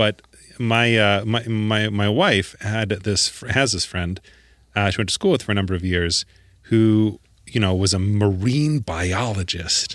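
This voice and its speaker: In a plain, everyday voice, a man with an American accent speaks fairly slowly at a fairly low pitch, with ordinary pitch variation. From US suburbs, Midwest. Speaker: scientist podcast co-host. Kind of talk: casual chat.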